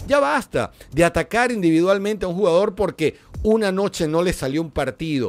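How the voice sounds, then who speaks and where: Delivered at a fairly quick pace, the speech has lively intonation and an animated tone. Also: man. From Venezuela. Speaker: football pundit. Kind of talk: solo commentary video. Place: studio. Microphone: studio mic.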